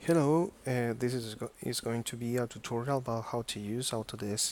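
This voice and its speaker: A man speaks with a non-native accent. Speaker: software tutorial maker. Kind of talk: tutorial. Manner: halting, many fillers and repetitions.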